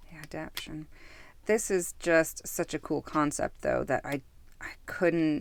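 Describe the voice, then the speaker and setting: A woman at a fairly slow pace, her loudness swinging widely, on a very clean recording with a silent background. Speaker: tarot youtuber. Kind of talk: product review. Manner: hesitant, many fillers.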